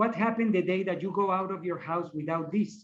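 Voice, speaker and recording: With a non-native accent, a man talks at a high pitch with ordinary pitch variation. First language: not English. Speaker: shamanic practitioner. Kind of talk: panel discussion. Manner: halting.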